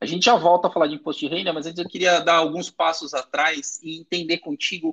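A man speaks at a high pitch and a fairly quick pace, with lively intonation. The sound is dry and close, with no echo. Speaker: podcast host. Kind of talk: interview.

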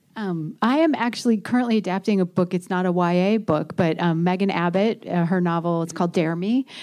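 Against a quiet background, a woman with an unremarkable speaking voice talks in an American accent at a fairly quick pace with hardly any pauses and ordinary pitch variation. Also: medium pitch for a woman. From US Midwest, Indiana. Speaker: TV writer. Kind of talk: panel discussion.

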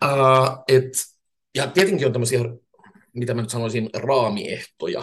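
The man's voice is medium in pitch and somewhat breathy. He speaks at a fairly slow pace. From Finland, Turku. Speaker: professor of innovation and leadership. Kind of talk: casual interview. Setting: remote studio. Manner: frequent hesitations.

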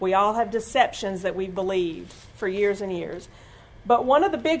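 A woman talks at a fairly quick pace in an ordinary speaking voice with ordinary pitch variation. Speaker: church speaker giving testimony. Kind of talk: testimony.

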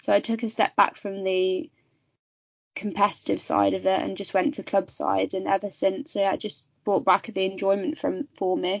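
A woman at a moderate pace with a slight Birmingham accent. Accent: West Midlands, slight Birmingham. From West Midlands, England. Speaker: amateur golfer. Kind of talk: casual interview chat.

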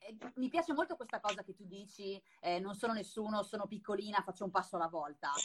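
Somewhat breathy speech comes at a very fast pace with lively intonation. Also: woman, medium pitch for a woman. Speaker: podcast host and Etsy consultant. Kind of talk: casual chat. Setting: recorded Instagram live. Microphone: poorly placed microphone, mediocre audio.

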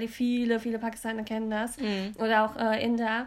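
A woman talks at a fairly quick pace. Her pitch sits fairly high. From Germany, Cologne. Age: 20s. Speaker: podcast co-host. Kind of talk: casual chat.

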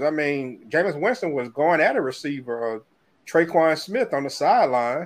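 A man speaks at a fairly quick pace with a fairly high pitch over a quiet background. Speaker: sports podcast host. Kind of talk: casual sports talk. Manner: animated.

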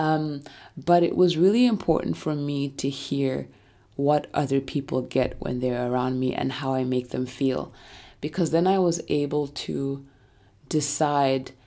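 A woman's very deep, low voice with a dark, mellow, calm tone, ordinary pitch variation and a fairly slow pace, on a very clean recording with a silent background. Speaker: podcast host. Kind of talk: solo self-help monologue.

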